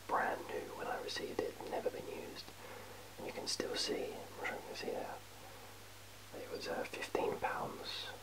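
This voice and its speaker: Whispering at a moderate pace, a man leaves long, frequent pauses over noticeable background noise. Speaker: ASMR creator. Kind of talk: ASMR show-and-tell of a collection. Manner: whispered; casual, hesitant, many fillers.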